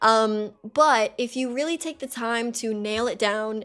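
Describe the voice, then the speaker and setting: Noticeable background noise beneath a woman's fairly high-pitched voice. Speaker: streaming tutorial creator. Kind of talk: tutorial. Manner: casual, many fillers.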